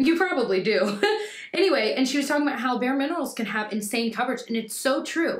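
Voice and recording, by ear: Her pace is fast and her pitch is high. The woman's intonation is lively.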